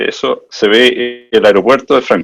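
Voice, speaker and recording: A man speaks with a Chilean accent. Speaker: management consultant. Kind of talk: presentation.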